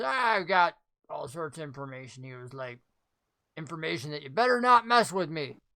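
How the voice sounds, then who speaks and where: At a middle pitch, a put-on character voice comes through on a very clean recording with a silent background. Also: moderate pace. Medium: actual play. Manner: gruff, folksy, suspicious.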